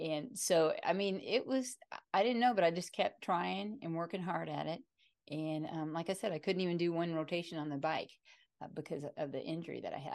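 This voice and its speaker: Her pitch is fairly low with ordinary variation, an unremarkable speaking voice from a woman. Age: 50s. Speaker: chiropractic physician, triathlete, author. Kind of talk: casual interview chat.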